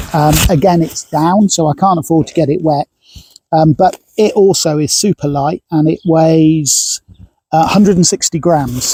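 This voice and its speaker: Dark, mellow tone with a British accent, very even loudness, fairly even intonation and a moderate pace, in a dry, close sound with no echo. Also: man, fairly high pitch for a man. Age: 60s. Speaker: hiker vlogger. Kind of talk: kit review tutorial. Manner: hesitant, many fillers; casual.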